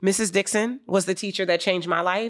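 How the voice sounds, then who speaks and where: A woman with an American accent has a plain, everyday voice at medium pitch. The recording is very clean, with a silent background. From US, Wilmington, Delaware. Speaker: business coach. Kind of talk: interview.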